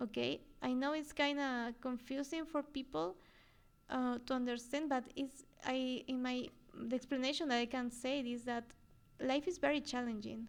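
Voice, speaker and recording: A woman with a Spanish accent speaks at a moderate pace in a high pitch, her intonation fairly even. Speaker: podcast host, psychologist. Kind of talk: solo podcast talk. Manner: halting, frequent fillers and repetitions.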